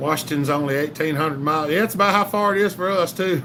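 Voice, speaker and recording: A man speaks with a Southern US accent and lively intonation. Noticeable background noise runs under his voice. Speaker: chainsaw channel livestream host. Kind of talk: casual livestream chat reading comments. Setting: live stream.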